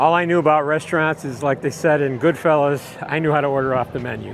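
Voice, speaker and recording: Fairly high-pitched man at a fairly quick pace, ordinary pitch variation, with music in the background. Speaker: theme park vlogger and host. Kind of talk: casual talk to camera, walkthrough narration. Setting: outdoors, walking through a theme park. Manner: relaxed, friendly, smooth.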